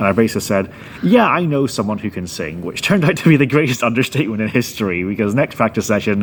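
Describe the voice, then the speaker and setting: A man speaks at a very fast pace in a fairly low pitch. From Northern Ireland. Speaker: guitarist and band founder. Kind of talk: interview.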